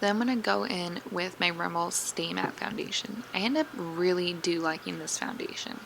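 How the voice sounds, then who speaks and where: A woman with a fairly low pitch talks with hardly any pauses and ordinary pitch variation. There is noticeable background noise. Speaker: beauty vlogger. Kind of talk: tutorial. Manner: fast; casual.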